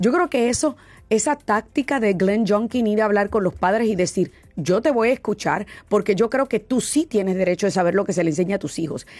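Lively intonation runs through a woman's ordinary speaking voice at a medium pitch and fairly quick pace. She keeps her loudness very even. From Boston, US. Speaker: radio talk show host. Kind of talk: interview.

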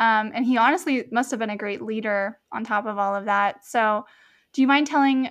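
A woman speaks in a normal speaking voice, fairly high in pitch. The background is quiet. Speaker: medical student podcast host. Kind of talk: casual interview chat.

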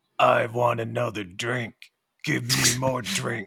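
Putting on a character voice, a man talks raspy, gruff and gravelly at medium pitch and a fairly slow pace. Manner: gruff, gravelly.

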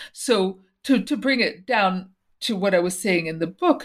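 A woman talks at a fairly slow pace. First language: Portuguese. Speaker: author and former teacher. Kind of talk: interview.

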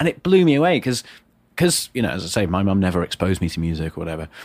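With a Yorkshire accent, a man with a very deep, low pitch speaks with lively intonation. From northern England, Wakefield, Yorkshire. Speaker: entrepreneur and former policy advisor. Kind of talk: casual interview chat. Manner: chatty with frequent fillers.

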